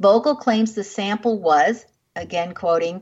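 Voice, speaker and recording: A woman has an ordinary speaking voice at a medium pitch. She talks at a fairly slow pace, with ordinary pitch variation. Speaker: radio show host. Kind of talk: radio host patter, interview intro and sign-off. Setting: radio studio. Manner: polished, warm, measured.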